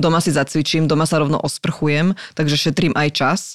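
Over a very clean recording with a silent background, a woman speaks fairly quickly in a very deep, low, monotone voice, with a dry, close sound and no echo. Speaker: TV and radio presenter. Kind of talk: casual chat.

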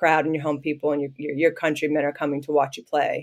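In a very clean recording with a silent background, a woman with a Midwestern accent talks at a very fast pace. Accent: American Midwest. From US Midwest (southwest Ohio). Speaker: professional basketball player. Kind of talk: casual interview.

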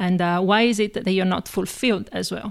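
Speaking with an Italian accent, a woman uses a medium pitch, a moderate pace and fairly even intonation in a very clean recording with a silent background. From Italy, Padova near Venice. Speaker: marketing professional. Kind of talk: interview.

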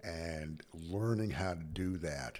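This man has a very deep, low voice with vocal fry. He speaks with an American accent and lively intonation. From US West (Utah). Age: 70s. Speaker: motorcycle rider. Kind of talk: casual interview.

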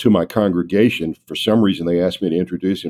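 Recorded dry and close with no echo, a man with a Southern US accent speaks in a very deep, low voice of dark, mellow tone. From North Carolina. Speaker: retired diplomat. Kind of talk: interview.

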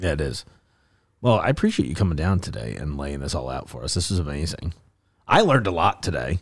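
A very deep, low-pitched male voice with vocal fry, lively intonation and a very fast pace, in a very clean recording with a silent background. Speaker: podcast host. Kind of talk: podcast interview. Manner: quieter than usual, subdued; enthusiastic.

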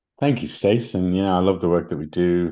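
A man with an English accent and a very deep, low pitch, dark, mellow tone, ordinary pitch variation and a moderate pace, over a quiet background. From England. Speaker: spiritual coach and podcast host. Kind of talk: casual conversational podcast discussion.

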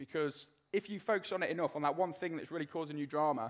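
A man with a British accent and fairly high pitch speaks fairly quickly on a very clean recording with a silent background. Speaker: ex-soldier and motivational speaker. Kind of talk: live talk and testimony. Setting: stage with audience.

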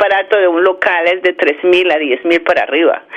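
In a Bogotá accent, a woman speaks at a fairly slow pace and a fairly low pitch. Noticeable background noise is present. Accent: Bogotá Colombian. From Bogotá, Colombia. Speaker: chamber of commerce leader. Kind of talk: interview.

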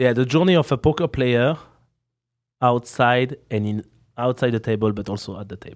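With a strong French accent and a playful tone, a man speaks at a medium pitch and moderate pace with ordinary pitch variation, long, frequent pauses and big swings in loudness against a quiet background. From France. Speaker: professional poker player and streamer. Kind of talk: casual interview. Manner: laughs often, playful.

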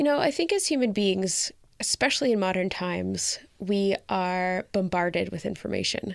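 Recorded very cleanly against a silent background, a woman with a Canadian accent uses an unremarkable speaking voice at a medium pitch, with ordinary pitch variation and a moderate pace. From rural Canada. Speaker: founder of a mixed-race community resource centre. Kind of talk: interview.

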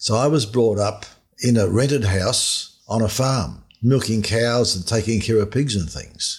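A somewhat breathy man with an Australian accent, medium pitch, ordinary pitch variation and a moderate pace. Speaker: finance author. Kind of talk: interview.

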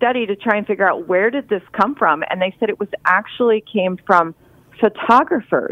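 Delivered at a moderate pace, this is a normal speaking voice. Nothing speeds it up or slows it down. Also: woman. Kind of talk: radio interview.

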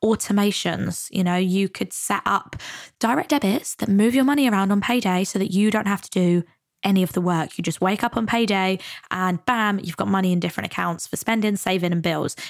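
With a British accent, a woman speaks in an upbeat tone at a fairly quick pace. The recording is very clean, with a silent background. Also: medium pitch for a woman, ordinary pitch variation. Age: 20s. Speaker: money and mindset coach, podcast host. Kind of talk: solo podcast monologue. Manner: casual, upbeat.

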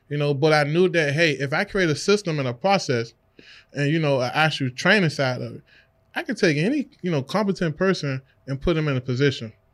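A man talks at a fairly quick pace in an ordinary speaking voice. His pitch is fairly high with ordinary pitch variation, on a very clean recording with a silent background. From Washington, D.C. area. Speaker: real estate investor. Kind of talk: casual interview. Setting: studio.

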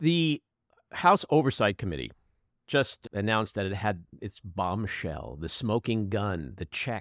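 A man with a plain, everyday voice talks at a fairly slow pace and fairly low pitch. His intonation is lively, in a very clean recording with a silent background. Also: dry, close sound with no echo. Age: 60s. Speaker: podcast host. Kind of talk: casual chat.

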